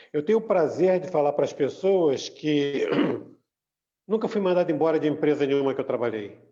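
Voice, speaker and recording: An unremarkable speaking voice from a man, fairly high in pitch, at a fairly quick pace with lively intonation. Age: 60s. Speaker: church group member. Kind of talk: casual chat.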